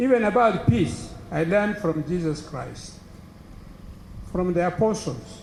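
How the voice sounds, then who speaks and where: A high-pitched man at a fairly slow pace, lively intonation, audible room echo. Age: 80s+. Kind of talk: speech to an audience.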